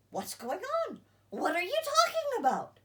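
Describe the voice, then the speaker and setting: A woman uses a squeaky, put-on character voice at an extremely high pitch. Her pitch swings very widely as she talks at a moderate pace. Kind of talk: bedtime story. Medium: read story.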